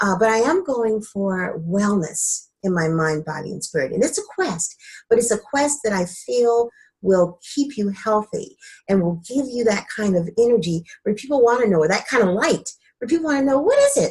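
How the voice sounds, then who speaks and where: Fairly high in pitch, a woman speaks in a somewhat breathy voice. Her pitch swings very widely. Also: moderate pace. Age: 60s. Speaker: wellness coach. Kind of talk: interview. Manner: conversational, with frequent fillers.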